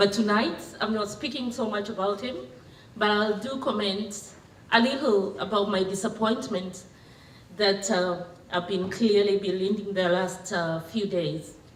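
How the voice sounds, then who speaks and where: Through audible room echo and noticeable background noise, a woman with a medium pitch talks at a fairly slow pace with ordinary pitch variation. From Kenya. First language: Kenyan local language. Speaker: women's rights advocate. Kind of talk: public talk. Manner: halting.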